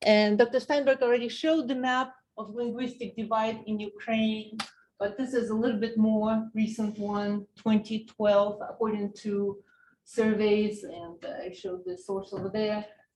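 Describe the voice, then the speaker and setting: Speaking at a fairly slow pace in a Russian accent, this voice has a dark, mellow tone, a somewhat breathy quality, fairly even intonation, and big swings in loudness. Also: woman. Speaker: political science professor. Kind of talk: lecture.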